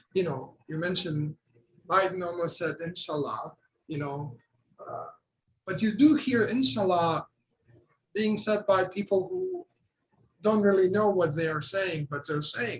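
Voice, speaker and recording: A man's high-pitched, fairly slow delivery with lively intonation, big swings in loudness, and long, frequent pauses. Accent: Bosnian. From Bosnia and Herzegovina. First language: Bosnian. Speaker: artist and art professor. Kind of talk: panel discussion.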